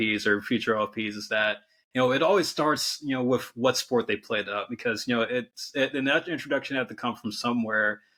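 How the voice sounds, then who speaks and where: A man with a Californian accent speaks at a fairly quick pace with hardly any pauses and a bright, sharp tone on a very clean recording with a silent background. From San Francisco Bay Area. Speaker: podcast host. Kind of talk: interview.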